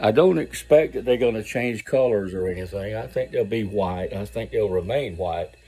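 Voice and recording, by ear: A dark, mellow tone at a moderate pace, with ordinary pitch variation. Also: man, fairly low pitch for a man.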